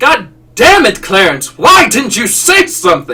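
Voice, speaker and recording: Fairly slow speech from a man doing a put-on character voice at an extremely high pitch. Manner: confronting, exasperated.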